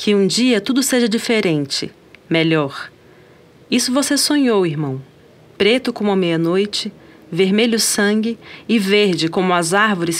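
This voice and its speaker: In a Brazilian accent, a woman speaks fairly slowly at a medium pitch with an intense tone and lively intonation. Her loudness stays very even, broken by long, frequent pauses. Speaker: guest poetry reader. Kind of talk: poem reading aloud, spoken-word style, impassioned and rhythmic. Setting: studio recording. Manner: intense, deliberate, emphatic.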